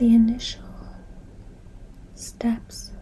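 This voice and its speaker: Very slow whispering against noticeable background noise. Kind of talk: ASMR soft-spoken talk on recovery. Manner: soft-spoken.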